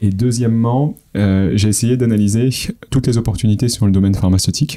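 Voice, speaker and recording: With an unremarkable speaking voice, a man talks at a fairly quick pace, medium in pitch with ordinary pitch variation and very even loudness. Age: 30s. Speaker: startup founder. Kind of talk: interview.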